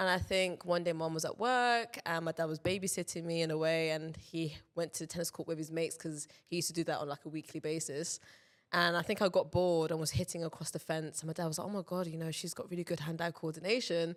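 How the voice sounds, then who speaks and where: Very fast speech in a London accent with fairly even intonation, on a very clean recording with a silent background. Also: woman, fairly low pitch for a woman. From London, England. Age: 20s. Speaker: professional tennis player. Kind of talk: casual chat. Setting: studio.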